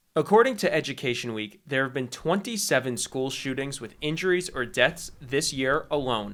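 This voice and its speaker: A man speaks in an unremarkable speaking voice with an American accent, fairly high in pitch and with lively intonation. His pace is moderate, with hardly any pauses. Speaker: sports reporter and news anchor. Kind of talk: broadcast sports news reporting.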